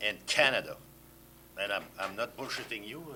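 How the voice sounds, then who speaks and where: A man's bright, sharp voice with a French accent. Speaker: sports journalist. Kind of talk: panel discussion.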